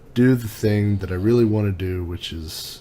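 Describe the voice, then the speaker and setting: There is audible room echo along with noticeable background noise. A man speaks with ordinary pitch variation. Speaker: tech reviewer YouTuber. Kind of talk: casual vlog monologue. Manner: laid back.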